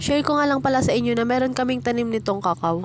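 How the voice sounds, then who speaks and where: Over noticeable background noise, a woman talks at a very fast pace in a high pitch with ordinary pitch variation. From Philippines, rural province. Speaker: vlogger. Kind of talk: casual vlog narration.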